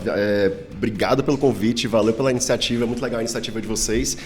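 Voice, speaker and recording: Over music in the background, a man with a Ceará accent and medium pitch talks very fast with hardly any pauses and fairly even intonation. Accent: Northeastern Brazilian (cearense). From Brazil, Ceará (Northeast). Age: 30s. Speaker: paleontologist, professor. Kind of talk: casual interview.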